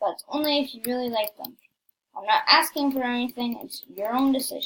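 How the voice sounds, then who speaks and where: A high-pitched woman's voice with lively intonation. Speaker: gaming youtuber. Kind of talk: gameplay commentary. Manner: casual, hesitant with fillers.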